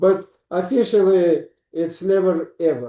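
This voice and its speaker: A man with a Russian accent and a dark, mellow tone. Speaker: psychiatrist. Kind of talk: interview.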